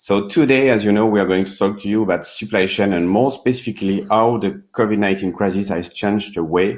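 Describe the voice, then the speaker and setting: Against a quiet background, a man with a French accent speaks at a fairly quick pace in a fairly low pitch. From France. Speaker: session moderator, corporate risk manager. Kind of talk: conference panel moderation. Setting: live online workshop at a seminar.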